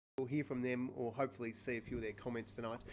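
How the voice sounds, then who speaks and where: A man talks with an Australian accent. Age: 40s. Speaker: podcast co-host, Paralympian. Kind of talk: casual chat. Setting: live stream. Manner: animated. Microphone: sound problems at start of show.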